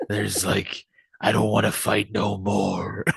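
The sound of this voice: This put-on character voice is gruff, raspy and gravelly, delivered at a fairly slow pace. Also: man, fairly low pitch for a man.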